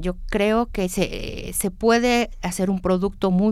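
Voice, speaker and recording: A woman's dark, mellow tone at a medium pitch. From Mexico. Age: 50s. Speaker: university lecturer. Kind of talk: interview.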